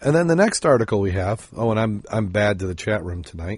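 A somewhat breathy man at a fairly quick pace against a quiet background. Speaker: podcast host. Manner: halting.

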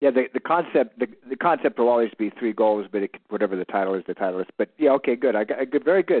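A man with an American accent talks at a very fast pace with hardly any pauses. His intonation is lively. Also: medium pitch for a man. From Northern California. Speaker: aspiring author. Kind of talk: coaching call. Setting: phone call. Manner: halting.

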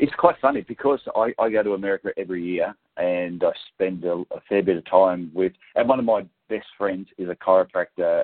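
The speaker has an Australian accent and talks at a fairly quick pace. The pitch shows ordinary variation. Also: man. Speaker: podiatrist and business coach. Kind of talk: interview.

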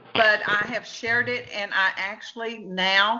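This woman speaks with a Texan accent at a fairly slow pace. Her pitch is fairly high, with ordinary pitch variation. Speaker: author. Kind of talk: casual chat.

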